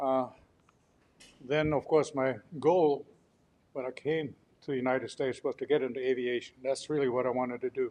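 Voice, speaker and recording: Long, frequent pauses break up a man's fairly quick, monotone delivery with flat intonation. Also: medium pitch for a man. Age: 80s+. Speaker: political candidate. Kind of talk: campaign speech. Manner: halting.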